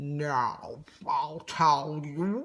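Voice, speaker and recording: A nasal, put-on character voice sits at a middle pitch. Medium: read story. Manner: grunting, self-justifying.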